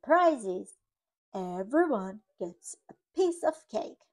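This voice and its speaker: A woman performs a put-on character voice that swings very widely in pitch. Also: fairly high pitch for a woman, very slow pace. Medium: read story. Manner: announcing.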